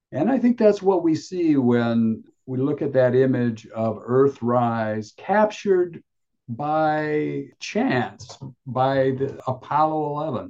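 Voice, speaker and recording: A man speaks at a very slow pace with an American accent, his fairly high voice carrying a dark, mellow tone. His intonation is lively, and the background is quiet. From US Midwest, Michigan. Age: 70s. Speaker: playwright and solo performer. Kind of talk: interview.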